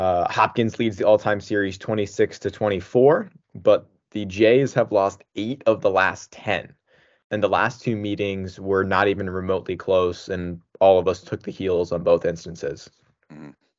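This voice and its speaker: The man has an unremarkable speaking voice pitched fairly low. He goes at a fairly slow pace with ordinary pitch variation. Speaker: lacrosse picks podcast host. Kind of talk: casual sports analysis chat.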